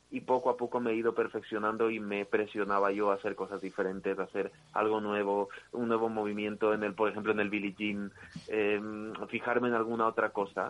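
Delivery is fairly quick, in a monotone, flat intonation. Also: man. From Ecuador. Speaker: dancer and impersonator. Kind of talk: interview.

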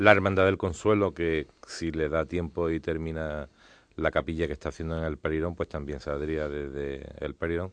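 A man speaks at a very deep, low pitch over a quiet background. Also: fairly even intonation, moderate pace. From Spain, Jerez (Andalusia). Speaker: brotherhood council president. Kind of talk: radio interview.

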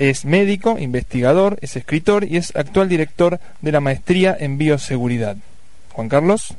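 Lively intonation marks a man's fairly high voice, heard with audible room echo. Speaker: radio host. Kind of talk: radio talk show.

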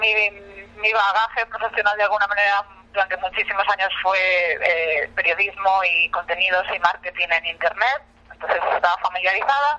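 A woman with a Spanish accent speaks at a moderate pace, her medium pitch showing ordinary variation and her loudness very even. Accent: Spanish (Spain). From Spain. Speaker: nonprofit program coordinator. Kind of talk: interview. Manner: hesitant, many fillers.

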